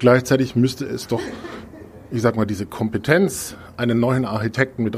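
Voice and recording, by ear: The speaker is a man with a slightly mellow tone. He moves at a fairly quick pace.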